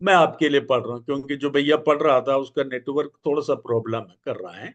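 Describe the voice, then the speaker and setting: A man speaks at a moderate pace in a fairly high pitch, with ordinary pitch variation and big swings in loudness. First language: Malayalam (speaking Hindi). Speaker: evangelist. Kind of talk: Bible study teaching. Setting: church prayer meeting.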